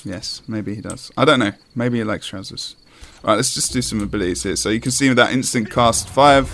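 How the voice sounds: The voice reads aloud naturally.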